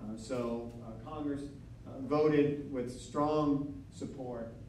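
A man speaks with an American accent. Light background noise and audible room echo come through. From north central Florida. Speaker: historian and author; guest lecturer. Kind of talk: lecture. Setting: studio with live audience. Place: hall.

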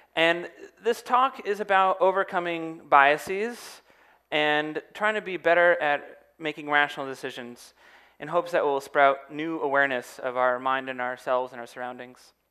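A man's bright, sharp tone comes through over a quiet background. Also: moderate pace, big swings in loudness. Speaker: speaker. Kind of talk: public talk. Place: stage. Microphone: headset.

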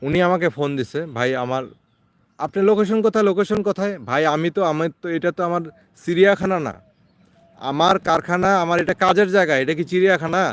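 In a dry, close sound with no echo, a man speaks at a high pitch with ordinary pitch variation. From Bangladesh, Thakurgaon. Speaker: incubator maker and seller. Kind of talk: casual vlog monologue. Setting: outdoors in a garden.

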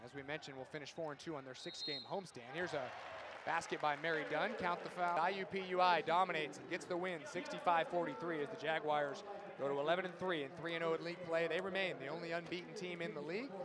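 A man speaks at a fairly quick clip in a high voice, with ordinary pitch variation. Crowd noise runs in the background, and the sound is dry with no echo. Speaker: sports play-by-play announcer. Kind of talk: live sports commentary, highlight reel play-by-play. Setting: basketball arena broadcast. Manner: fast, animated, excited; rapid-fire, high-energy calls.

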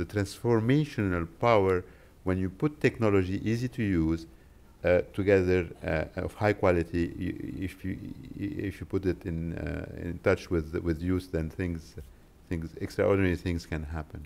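Pitch moves up and down in an ordinary way. The speed is moderate. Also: man, very deep, low pitch for a man. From Lebanon. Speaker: tech company policy executive; conference panelist. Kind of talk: press conference presentation. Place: hall. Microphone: podium.

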